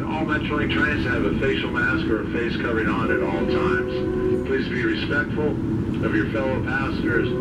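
Loud background noise around a man's voice. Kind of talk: public address announcement. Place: train. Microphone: pa.

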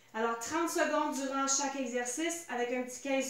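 A woman talks at a moderate pace in a high pitch and a calm tone. Room echo can be heard around her. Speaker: fitness instructor. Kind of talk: guided workout class. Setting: home video workout. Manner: calm, coaching cues; short imperative cues. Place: home room. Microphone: camera far.

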